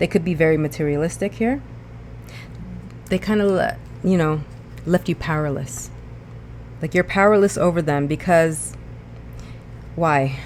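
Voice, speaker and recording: Moderately paced talk, with noticeable noise behind it. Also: woman. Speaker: tarot reader. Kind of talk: tarot reading monologue. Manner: hesitant, many fillers.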